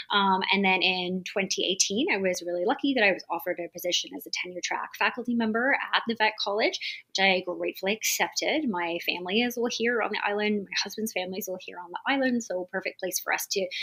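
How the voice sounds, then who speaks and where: A woman with a slight British accent at a medium pitch, very fast and with hardly any pauses, her pitch varying in an ordinary way. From UK. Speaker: veterinary dermatologist and professor. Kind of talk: podcast interview.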